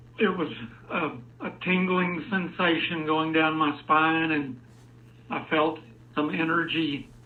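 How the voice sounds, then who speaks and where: Speaking at a very slow pace, a man with a fairly high pitch keeps a fairly even intonation amid audible room echo. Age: 60s. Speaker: caller. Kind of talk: testimony.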